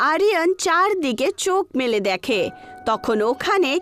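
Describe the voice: The voice has a fairly bright tone and big pitch swings, moving at a slow pace. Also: woman.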